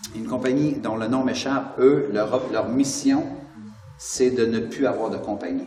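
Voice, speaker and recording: A man talks fairly slowly in a room with audible echo, noticeable noise running in the background. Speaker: motivational speaker and author. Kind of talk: interview. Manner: animated.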